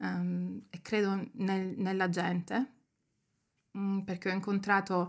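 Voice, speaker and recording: This woman's voice comes through on a very clean recording against a silent background. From Germany. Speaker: photographer and writer. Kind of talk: casual interview chat.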